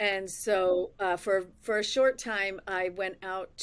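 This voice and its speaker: A woman talks with a slight New York accent. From Massachusetts countryside, New York family. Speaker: podcast host. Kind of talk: casual interview chat. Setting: livestream video call. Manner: halting, many fillers.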